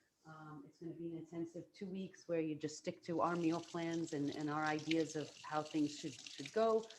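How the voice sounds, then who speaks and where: Soft-spoken at a moderate pace, the voice keeps a fairly even intonation but makes big swings in loudness. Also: woman. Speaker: plant-based chef and cooking instructor. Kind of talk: cooking demonstration. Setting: video call.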